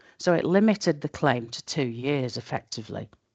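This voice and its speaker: A woman speaks with a Yorkshire accent in a very deep, low voice. The sound is dry and close with no echo, over a quiet background. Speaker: tax expert presenting a webinar. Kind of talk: webinar lecture. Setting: online webinar.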